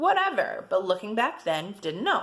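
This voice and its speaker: A loud, animated woman's voice at fairly high pitch, with noticeable background noise. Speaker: personal vlogger sharing abuse experience. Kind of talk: personal testimony vlog.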